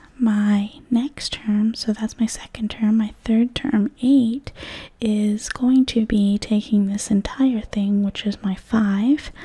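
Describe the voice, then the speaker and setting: Soft-spoken and very slow, the voice comes through against a quiet background. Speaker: math teacher. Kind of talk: tutorial. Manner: soft-spoken ASMR explaining voice.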